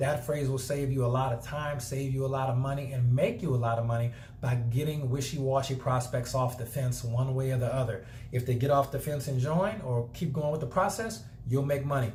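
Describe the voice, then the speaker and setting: Over noticeable background noise and audible room echo, a man talks at a fairly quick pace with medium pitch and fairly even intonation. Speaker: network marketing trainer. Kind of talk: tutorial. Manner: fast.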